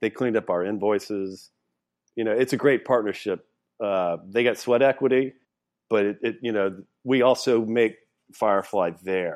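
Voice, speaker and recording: Against a quiet background, a fairly low-voiced man speaks at a moderate pace with ordinary pitch variation and long, frequent pauses. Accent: Southern US. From Louisiana. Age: 50s. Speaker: distillery founder. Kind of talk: casual interview.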